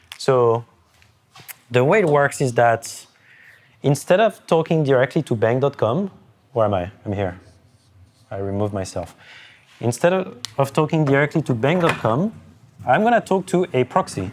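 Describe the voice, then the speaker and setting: In a French accent, a man talks at a moderate pace and medium pitch, his pitch swinging very widely, with long, frequent pauses. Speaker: cryptography lecturer. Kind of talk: whiteboard lecture. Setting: in-person session with group. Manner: halting, many restarts.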